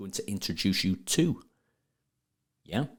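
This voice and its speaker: Someone with a Sheffield accent speaks at a moderate pace in a very clean recording with a silent background. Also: man. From northern England, Sheffield. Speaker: plumbing business owner and trade marketing expert. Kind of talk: podcast interview. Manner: repetitive, stumbling on words.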